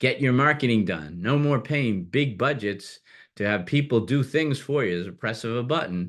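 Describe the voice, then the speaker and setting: A plain, everyday voice with lively intonation at a moderate pace, over a quiet background. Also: man. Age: 60s. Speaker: business broker CEO hosting a webinar. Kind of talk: webinar presentation. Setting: online webinar.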